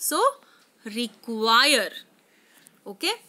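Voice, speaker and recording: A woman uses a raised, projected voice with a bright, sharp tone. Her pace is very slow. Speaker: English teacher. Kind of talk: lecture.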